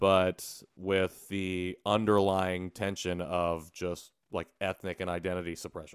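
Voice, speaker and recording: In a Midwestern American accent, a man talks with a very deep, low pitch and monotone, flat intonation at a fairly slow pace. He hardly pauses, and the sound is dry and close with no echo. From US Midwest, Indiana. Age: 30s. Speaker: podcast co-host and adoptee advocate. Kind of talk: casual interview.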